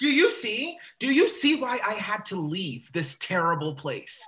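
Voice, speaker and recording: Shouting in a put-on character voice, the speaker holds a fairly high pitch at a moderate pace. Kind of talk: dramatic scene. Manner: yelling, angry.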